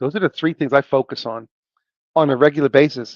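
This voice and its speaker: A man speaks in a fairly high-pitched voice. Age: 60s. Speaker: podcast co-host, IT professional. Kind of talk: solo podcast monologue. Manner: emphatic, repeats key phrases.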